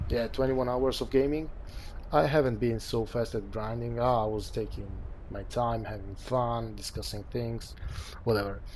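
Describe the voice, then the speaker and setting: A man's voice, at a moderate pace, carries audible room echo. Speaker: gaming youtuber. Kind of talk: game build tutorial. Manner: casual, conversational.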